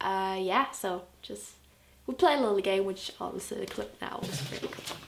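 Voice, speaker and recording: A woman speaks at a moderate pace with a medium pitch and ordinary pitch variation. Background noise is noticeable. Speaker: music blogger and video host. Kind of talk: casual video recap. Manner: animated.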